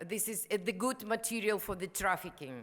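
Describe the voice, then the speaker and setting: A woman's fairly high voice with a non-native accent and ordinary pitch variation. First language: Ukrainian or Russian. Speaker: activist and prostitution survivor. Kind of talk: conference panel speech. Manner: halting.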